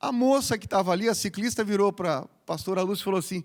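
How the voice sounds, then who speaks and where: An animated voice races at a very fast pace in a very clean recording with a silent background. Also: man. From Paraná, southern Brazil. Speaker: pastor. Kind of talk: sermon. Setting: church.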